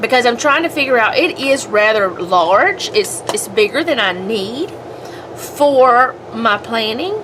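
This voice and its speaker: A high-pitched woman with an American accent, fairly slow, with very wide pitch swings and noticeable background noise. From US South. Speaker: homemaking and planner vlogger. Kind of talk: casual chat while crafting. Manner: rambling, hesitant.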